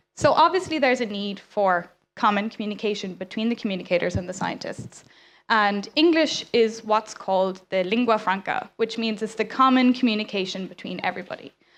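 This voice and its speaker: Over a quiet background, a woman with an Irish accent and fairly high pitch speaks at a fairly quick pace with ordinary pitch variation. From Ireland. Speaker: science communicator. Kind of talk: conference talk. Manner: fast.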